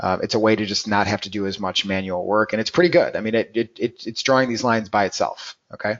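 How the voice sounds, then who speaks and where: Fairly quick speech from a man at medium pitch, pitch variation ordinary. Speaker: trading educator at a futures brokerage. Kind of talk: live webinar tutorial. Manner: fast.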